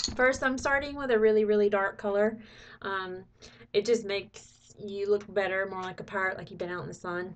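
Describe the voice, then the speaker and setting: With an unremarkable speaking voice, a woman talks at a fairly quick pace and medium pitch, with ordinary pitch variation and big swings in loudness. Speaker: makeup tutorial creator. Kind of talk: tutorial. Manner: casual, chatty.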